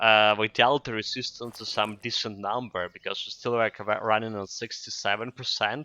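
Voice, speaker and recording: Against a quiet background, a man with a Ukrainian accent speaks at medium pitch and moderate pace in a bright, sharp tone. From Ukraine. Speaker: video game streamer. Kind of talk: gameplay commentary. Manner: hesitant, many fillers.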